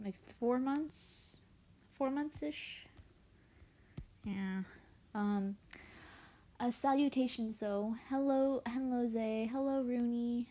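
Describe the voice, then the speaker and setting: A woman speaks quietly in a high voice with a dark, mellow tone. Her pace is very slow, with ordinary pitch variation and long, frequent pauses. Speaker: artist live streamer. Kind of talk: casual live stream chat. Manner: quiet, lowered voice; halting.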